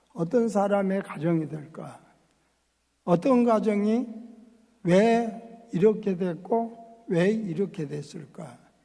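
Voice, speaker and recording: A man speaks very slowly in a high, dark, mellow voice with ordinary pitch variation. There is audible room echo. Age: 80s+. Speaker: pastor. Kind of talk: sermon.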